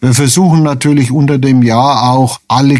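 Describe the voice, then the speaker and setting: A man speaks at a medium pitch in a dark, mellow tone with monotone, flat intonation. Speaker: retired hospital administrator. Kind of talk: radio interview.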